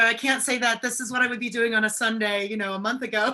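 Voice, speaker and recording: A woman speaks at a very fast pace with a high pitch. Her intonation is monotone and flat. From Wisconsin, US Midwest. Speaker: wine importer. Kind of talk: casual chat.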